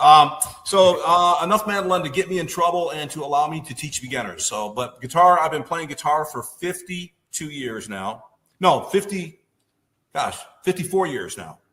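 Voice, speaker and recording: A man with an American accent speaks at a high pitch and a moderate pace. His intonation is lively, and his loudness swings widely. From Michigan, Detroit area. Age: 60s. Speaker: music teacher and musician. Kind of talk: casual interview chat.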